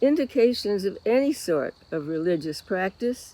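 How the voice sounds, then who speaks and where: Her dark, mellow voice has a medium pitch for a woman and moves at a fairly slow pace. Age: 90s. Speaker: lay speaker at a church service. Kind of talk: reflection talk in a worship service.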